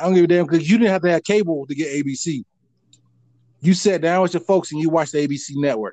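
A man with an American accent speaks very fast in a high pitch, his tone dark and mellow, with ordinary pitch variation. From North Florida. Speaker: podcast host. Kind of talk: casual chat.

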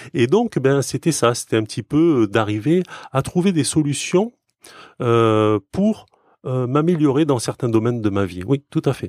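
An ordinary speaking voice from a man at medium pitch, fairly slow and with lively intonation, on a very clean recording with a silent background and a dry, close sound with no echo. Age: 40s. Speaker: software developer. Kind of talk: casual chat.

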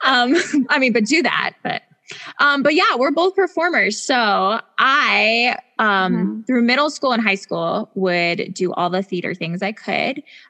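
Talking at a fairly slow pace in an American accent, a woman with a fairly high voice makes very wide pitch swings, and the sound is dry and close with no echo. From Washington State, Spokane. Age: 30s. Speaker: podcast co-host. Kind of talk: casual chat. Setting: remote recording.

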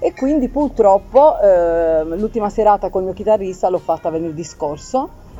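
Over music in the background, a woman of medium pitch speaks at a moderate pace with very wide pitch swings and hardly any pauses. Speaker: keyboardist. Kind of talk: casual chat. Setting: live event venue.

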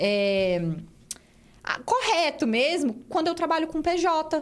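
A woman at a very slow pace, her pitch swinging very widely. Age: 20s. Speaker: engineer and business owner. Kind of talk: casual chat.

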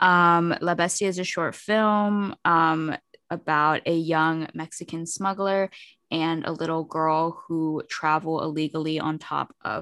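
Over a very clean, silent background, a woman with an unremarkable speaking voice talks fairly slowly at a fairly low pitch, with fairly even intonation. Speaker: podcast host. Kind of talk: casual chat.

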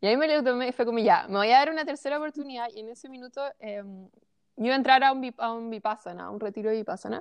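A woman with a high pitch and ordinary pitch variation, at a very fast pace, with big swings in loudness. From Chilean Patagonia, small town. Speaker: holistic coach. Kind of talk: interview, personal story.

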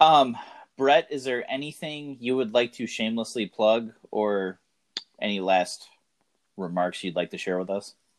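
A normal speaking voice with lively intonation at a fairly slow pace. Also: man, medium pitch for a man. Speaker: podcast host. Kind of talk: casual chat.

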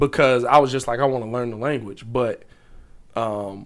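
In a very clean recording with a silent background, the speaker uses an animated tone at a moderate pace. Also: man. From Chicago, US. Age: 20s. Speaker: sports podcaster and electrician. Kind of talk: casual chat. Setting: studio.

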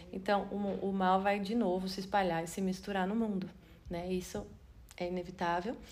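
Audible room echo surrounds a woman speaking at a medium pitch in a monotone, flat intonation. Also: moderate pace. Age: 40s. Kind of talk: Bible study talk. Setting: video recording. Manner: halting.

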